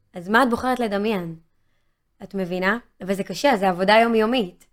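A woman speaks in an animated tone at a medium pitch with ordinary pitch variation. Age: 30s. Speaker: singer-songwriter. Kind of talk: interview.

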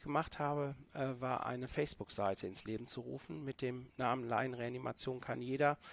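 At a moderate pace, a man talks with a medium pitch, ordinary pitch variation and an unremarkable speaking voice. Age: 40s. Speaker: intensive care nurse and first aid trainer. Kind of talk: podcast interview.

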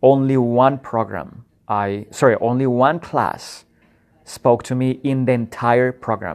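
Speaking with a Spanish accent, a man uses a medium pitch and fairly even intonation at a fairly slow pace. The recording is very clean, with a silent background. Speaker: podcast host. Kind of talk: solo reflective monologue. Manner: halting, many fillers.

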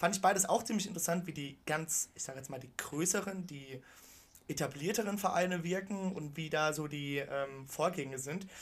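With a plain, everyday voice, a man talks at a moderate pace in a fairly high pitch, with ordinary pitch variation and big swings in loudness. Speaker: football podcast co-host. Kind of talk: casual chat.

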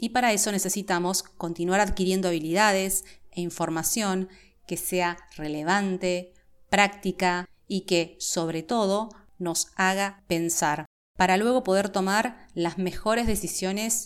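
A woman speaks in a porteño accent at medium pitch with fairly even intonation. The recording is very clean, with a silent background. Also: fairly slow pace. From Buenos Aires, Argentina. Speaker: podcast host, HR professional. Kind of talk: scripted monologue.

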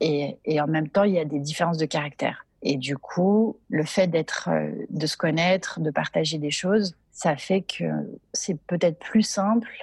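The woman's voice is fairly low-pitched and somewhat breathy, at a fairly slow pace. The sound is dry and close, with no echo. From Geneva, Paris and southern France. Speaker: entrepreneur. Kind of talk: interview. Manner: hesitant, many repetitions.

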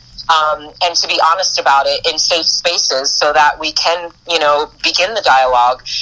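There is noticeable background noise as a woman talks at a moderate pace. Her voice is very deep and low, with ordinary pitch variation. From US East Coast (Boston and New York). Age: 40s. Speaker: spiritual priestess and life coach. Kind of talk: casual interview chat.

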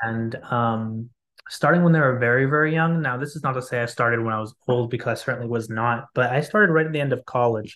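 A man's medium-pitched voice at a very fast pace, with ordinary pitch variation and a quiet background. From Lebanon and US. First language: Arabic. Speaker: author. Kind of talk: interview.

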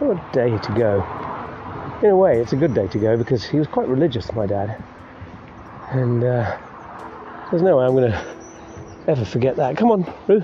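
With an English accent and a medium pitch, a man speaks with very wide pitch swings and long, frequent pauses amid noticeable background noise. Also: moderate pace. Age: 50s. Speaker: podcaster. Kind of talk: casual monologue. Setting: outdoors walking dog.

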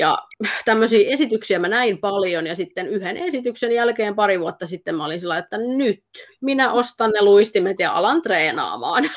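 A woman with an ordinary speaking voice, a fairly high pitch, lively intonation and a moderate pace, on a very clean recording with a silent background. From Finland, Pirkanmaa (Kangasala). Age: 30s. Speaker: dance instructor. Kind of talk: interview.

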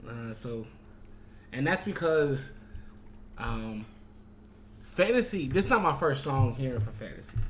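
A man with an animated tone and a somewhat breathy voice, at a fairly slow pace with long, frequent pauses. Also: lively intonation. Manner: animated, high-energy and slangy, hyping the show, bantering with guests and laughing.

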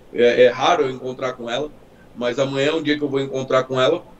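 This man talks at a very fast pace. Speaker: car enthusiast. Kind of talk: casual chat. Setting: live stream.

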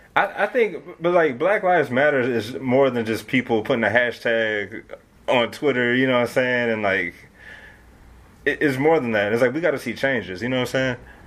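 With an American accent and a normal speaking voice, a man at a medium pitch talks at a fairly quick pace with lively intonation. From Detroit, Michigan. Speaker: rapper. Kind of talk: casual interview.

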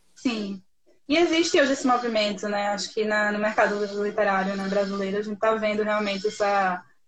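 Her delivery is somewhat breathy. This woman speaks at a fairly quick pace. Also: fairly high pitch for a woman, ordinary pitch variation. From Recife, northeast Brazil. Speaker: podcast host, journalist. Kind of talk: casual chat.

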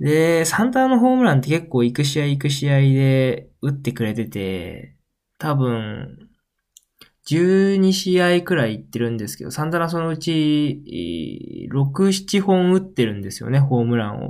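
Lively intonation carries the words along at a fairly slow pace. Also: man, fairly high pitch for a man. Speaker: podcast host. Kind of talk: solo casual talk. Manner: animated.

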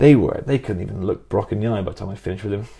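A man's fairly low, dark and mellow voice, somewhat breathy, at a very fast pace. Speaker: podcast co-host. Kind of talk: casual chat.

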